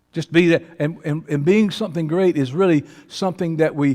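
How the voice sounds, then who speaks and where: Speaking at a fairly high pitch, a man talks with ordinary pitch variation. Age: 60s. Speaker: pastor. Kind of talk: sermon. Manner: animated.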